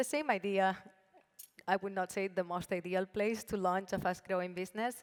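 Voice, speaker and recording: A woman with a Spanish accent talks at a moderate pace, her medium pitch showing ordinary variation. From Spain, Barcelona. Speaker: brand founder and CEO. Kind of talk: panel discussion.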